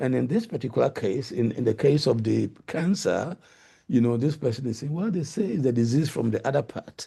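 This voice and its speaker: A man talks at a fairly quick pace with a medium pitch and lively intonation. His tone is dark and mellow, and somewhat breathy. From Ghana. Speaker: linguistics professor. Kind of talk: lecture.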